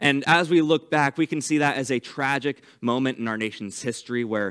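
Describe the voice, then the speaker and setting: With ordinary variation in his pitch, a man talks at a moderate speed. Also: quiet background. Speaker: pastor. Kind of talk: sermon. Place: church.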